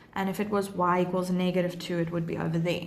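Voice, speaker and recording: A woman's voice with audible room echo. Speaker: maths teacher. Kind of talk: livestream tutorial; casual Q&A with viewers. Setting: live stream.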